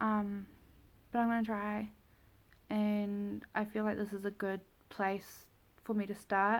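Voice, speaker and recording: In a very clean recording with a silent background, a woman with a New Zealand accent talks at a fairly slow pace and a medium pitch. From New Zealand, Taupo. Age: 20s. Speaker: vlogger. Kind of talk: casual vlog talk. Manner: hesitant, with many fillers.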